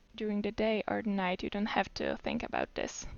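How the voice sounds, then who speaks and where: Fairly high female voice with a non-native accent. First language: not English. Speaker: game tutorial creator. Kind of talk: tutorial. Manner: casual, with fillers and hesitations.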